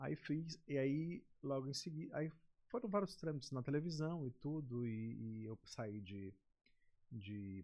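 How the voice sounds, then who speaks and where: In a dark, mellow, somewhat breathy tone, a man speaks fairly slowly at a medium pitch with lively intonation. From Maranhão, Brazil (Baixada Maranhense). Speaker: TV presenter. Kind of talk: casual chat.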